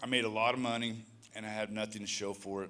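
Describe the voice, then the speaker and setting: The room echo can be heard clearly. In it, a man speaks fairly quickly. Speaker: recovery ministry leader sharing testimony. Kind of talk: testimony. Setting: church.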